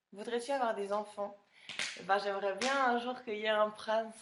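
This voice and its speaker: A woman speaks in a monotone, flat intonation. Noticeable background noise can be heard. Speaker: reality TV contestant answering fans. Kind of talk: live Q&A stream reading fan questions.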